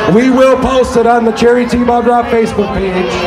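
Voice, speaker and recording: Against crowd noise in the background, a man speaks at a moderate pace. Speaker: event DJ announcer. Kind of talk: public announcement. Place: street.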